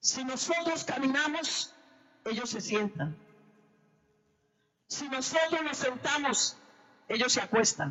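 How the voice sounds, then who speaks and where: Her pitch high and her intonation lively, a woman speaks at a very slow pace with long, frequent pauses. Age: 60s. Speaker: preacher. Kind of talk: sermon.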